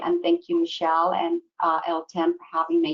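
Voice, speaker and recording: A woman with a slight Irish accent speaks at a fairly quick pace with lively intonation. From Ireland. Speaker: pharmaceutical training director. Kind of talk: panel discussion. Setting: webinar video call.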